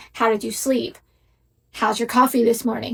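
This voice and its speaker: A woman at a moderate pace, fairly high in pitch, with fairly even intonation. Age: 30s. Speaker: social media poster. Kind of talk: vlog rant.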